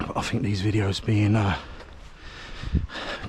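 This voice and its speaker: A man's fairly low-pitched voice moves at a moderate pace against noticeable background noise. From London. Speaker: running vlogger. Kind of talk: casual vlog monologue while running. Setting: outdoors on country lanes.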